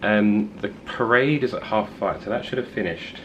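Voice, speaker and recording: There is noticeable background noise behind a man's fairly low voice. His pitch varies in an ordinary way. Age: 20s. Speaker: travel vlogger. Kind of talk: casual vlog narration. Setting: outdoors walking.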